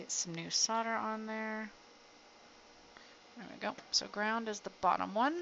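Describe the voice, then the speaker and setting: A woman's mumbling voice, fairly high-pitched, at a fairly slow pace with ordinary pitch variation and long, frequent pauses. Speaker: electronics hobbyist streamer. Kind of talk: live stream tutorial. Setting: outdoors.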